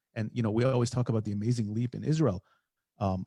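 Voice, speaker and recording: With an American accent, a man talks at a very fast pace in a fairly low, somewhat breathy voice with a dark, mellow tone, fairly even intonation, and a dry, close sound with no echo. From US Midwest. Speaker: podcast host. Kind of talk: casual chat.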